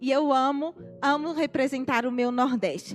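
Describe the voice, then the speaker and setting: Over music in the background, a woman with a northeastern Brazilian accent speaks at a moderate pace. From Brazilian Northeast, Natal, Rio Grande do Norte. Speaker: missionary. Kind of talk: church testimony.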